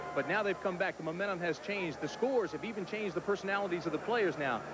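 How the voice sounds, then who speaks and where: Speaking at a very fast pace, a man uses a high pitch with ordinary pitch variation. The sound is dry with no echo, under noticeable background noise. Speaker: sideline reporter. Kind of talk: live sports commentary, sideline report. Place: stadium. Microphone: handheld.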